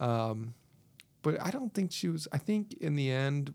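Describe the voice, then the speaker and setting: A man talks in an ordinary speaking voice, medium in pitch and at a fairly slow pace. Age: 30s. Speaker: podcast host and school bus driver. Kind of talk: casual chat.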